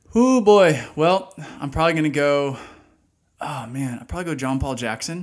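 A man with an American accent and an ordinary speaking voice, fairly high in pitch, with lively intonation, big swings in loudness and a moderate pace. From Dallas, Texas. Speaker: podcast co-host, ministry worker. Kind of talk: casual chat.

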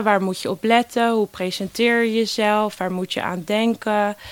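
A woman speaks fairly slowly in a flat monotone, her voice dry and close with no echo on a very clean recording over a silent background. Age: 20s. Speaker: volunteer youth ambassador for a job-search foundation. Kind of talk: interview. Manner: hesitant with many fillers.

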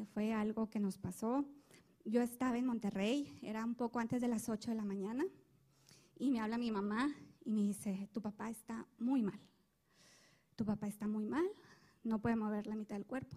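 A woman speaks at a moderate pace with long, frequent pauses, her somewhat breathy voice fairly high in pitch with a dark, mellow tone and ordinary pitch variation. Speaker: church member. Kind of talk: testimony.

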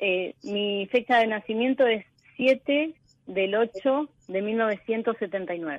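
Very slow delivery from a woman, fairly high in pitch and varying in an ordinary way. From Argentina, southwest Buenos Aires province. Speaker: economics teacher, caller. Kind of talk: personal testimony on a call-in show.

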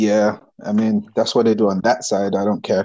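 At a moderate pace, a man speaks with a fairly low pitch and little pitch movement. His tone is dark and mellow.

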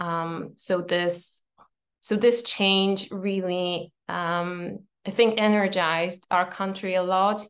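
A woman in a Polish accent at a medium pitch, very slow and monotone with flat intonation, against a quiet background. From Poland, Warsaw. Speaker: entrepreneur and coach. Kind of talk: casual interview. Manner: hesitant, many fillers.

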